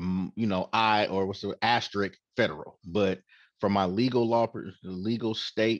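A man with an American accent speaks in an unremarkable speaking voice, pitched fairly low. His intonation stays fairly even against a quiet background. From Oakland, California. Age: 40s. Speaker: dispensary owner. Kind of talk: casual interview.

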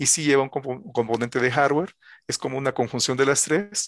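Against a quiet background, the voice moves at a fairly quick pace with ordinary pitch variation in a dry, close sound with no echo. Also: man. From El Salvador, schooled from high school in Puebla, Mexico. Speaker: cryptography researcher. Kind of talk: interview. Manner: halting.

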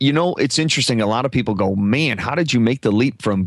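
Lively intonation marks a man's speech in a Midwestern US accent. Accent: US Midwest. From Omaha, Nebraska. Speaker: podcast coach and former radio broadcaster. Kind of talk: casual interview chat. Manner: halting, frequent repetitions.

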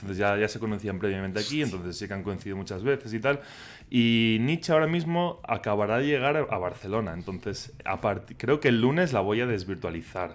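With a Catalan accent, a man talks at a fairly quick pace, his fairly low pitch carried by lively intonation. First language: Catalan (speaking Spanish). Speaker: podcaster about Japan. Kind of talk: casual chat. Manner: halting.

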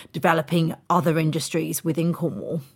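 Here is a woman with an unremarkable speaking voice. Her pitch is fairly low and her pace moderate. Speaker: podcast host. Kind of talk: interview podcast, moderated discussion. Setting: remote video call with guests.

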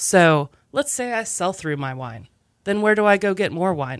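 In an American accent, a woman talks with a plain, everyday voice. The sound is dry and close with no echo, on a very clean recording with a silent background. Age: 30s. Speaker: restaurant owner. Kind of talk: casual chat.

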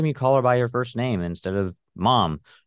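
With ordinary pitch variation and a fairly quick pace, a man speaks in a plain, everyday voice. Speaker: son of a parent with DID. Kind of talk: personal testimony in interview.

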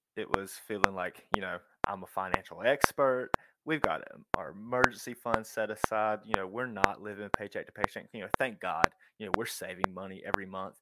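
With an unremarkable speaking voice, a man talks at a fairly quick pace with ordinary pitch variation and big swings in loudness, the sound dry and close with no echo. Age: 20s. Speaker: financial coach. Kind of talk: casual interview.

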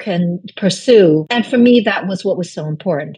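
Speaking at a moderate pace with a Chinese accent, a woman has a medium-pitched, dark, mellow, somewhat breathy voice with ordinary pitch variation. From Brooklyn, New York (immigrant from China). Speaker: novelist. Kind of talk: interview.

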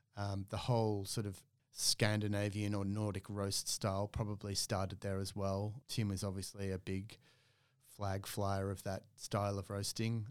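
A very clean recording with a silent background of a man's fairly low, monotone voice at a moderate pace. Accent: Australian. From Australia, Melbourne. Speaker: coffee roaster and business owner. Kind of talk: casual interview.

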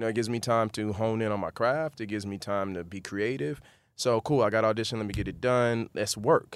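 A man with an American accent has an ordinary speaking voice at a medium pitch with ordinary pitch variation. He talks at a fairly quick pace on a very clean recording with a silent background. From Miami, Florida (Carol City / Opa-locka). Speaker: actor. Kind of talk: interview.

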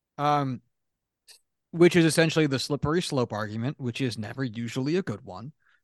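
A man speaks at a fairly quick pace in an ordinary speaking voice, medium in pitch with ordinary pitch variation and big swings in loudness. The sound is dry and close with no echo, over a quiet background. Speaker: sports podcast co-host. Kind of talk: casual chat.

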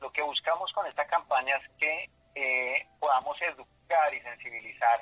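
Recorded dry and close with no echo, a man's bright, sharp tone moves with ordinary pitch variation. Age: 30s. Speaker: patient advocate, industrial engineer. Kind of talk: radio interview. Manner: hesitant, many filler sounds.

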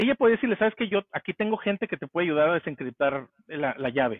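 Lively intonation runs through a man's very fast speech. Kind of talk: casual chat.

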